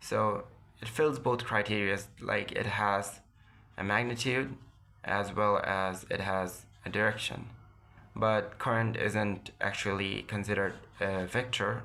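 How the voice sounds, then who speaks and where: The tone is bright and sharp, the pace fairly slow with long, frequent pauses, and both intonation and loudness stay even, the loudness very much so. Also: man, fairly low pitch for a man. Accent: non-native. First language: non-native English speaker. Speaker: physics lecturer. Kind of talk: educational lecture. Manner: occasional stutters.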